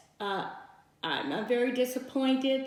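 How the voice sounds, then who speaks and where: Audible room echo surrounds a speaker with an American accent. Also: woman. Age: 70s. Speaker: civil rights veteran. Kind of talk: testimony.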